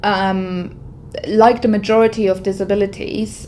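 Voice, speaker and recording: Background noise is clearly audible as the woman talks at a medium speed. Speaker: IT workforce manager. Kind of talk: testimony. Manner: loud; halting.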